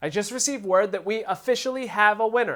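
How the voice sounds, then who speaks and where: A man with a Philadelphia accent talks at a fairly quick pace on a very clean recording with a silent background. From Philadelphia, US. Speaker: drummer and gear reviewer. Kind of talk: product review; giveaway announcement.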